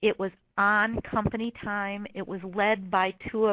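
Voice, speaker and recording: Her voice sits at a medium pitch, and the woman speaks in a monotone with flat intonation. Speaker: corporate wellness program manager. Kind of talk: webinar presentation. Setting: webinar.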